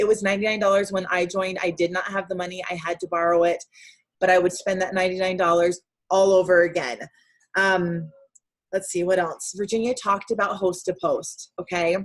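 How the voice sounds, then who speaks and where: The pace is fairly quick. A woman speaks at a medium pitch. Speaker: direct sales team leader. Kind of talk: motivational team call. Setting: video call. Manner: fast; animated.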